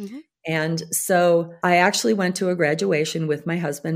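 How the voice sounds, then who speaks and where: A woman speaks at a moderate pace with a fairly low pitch and ordinary pitch variation. It is a normal speaking voice. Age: 60s. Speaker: women's group leader. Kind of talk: interview answer.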